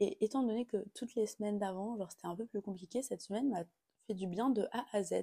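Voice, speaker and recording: A woman's somewhat breathy voice, dark and mellow in tone, at a fairly quick pace with ordinary pitch variation and a dry, close sound with no echo. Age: 20s. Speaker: podcast host. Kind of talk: casual chat. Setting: at home. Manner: animated.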